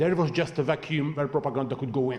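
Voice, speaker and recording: Somewhat breathy speech with ordinary pitch variation. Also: man. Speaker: panelist on foreign policy. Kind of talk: panel discussion. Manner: fast.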